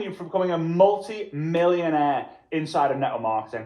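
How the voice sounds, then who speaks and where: A man talks at a fairly quick pace with a Liverpool accent. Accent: Liverpool (Scouse) English. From Liverpool, England. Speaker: network marketing trainer. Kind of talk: motivational workshop presentation.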